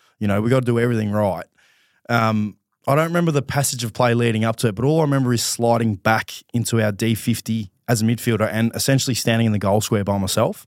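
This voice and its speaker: Over a very clean recording with a silent background, a man with an Australian accent speaks very fast at a medium pitch, with ordinary pitch variation and very even loudness. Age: 30s. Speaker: professional footballer. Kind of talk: casual chat. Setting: studio.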